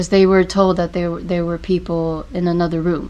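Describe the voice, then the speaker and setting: A woman's fairly low, monotone voice with flat intonation and a non-native accent. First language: not English. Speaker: podcast host. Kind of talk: casual podcast chat. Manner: halting, many fillers.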